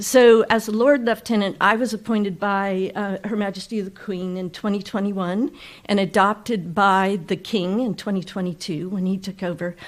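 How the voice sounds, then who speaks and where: In a very clean recording with a silent background, a woman with a Californian accent speaks at a moderate pace with fairly even intonation. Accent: Californian American. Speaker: ceremonial county official. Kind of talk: public speech. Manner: brief, conversational.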